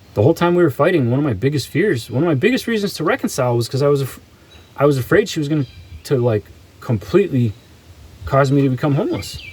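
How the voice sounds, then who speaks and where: Somewhat breathy and fairly high, a man's voice moves with lively intonation. He talks very fast but takes long, frequent pauses. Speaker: vlogger. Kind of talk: personal monologue. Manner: halting.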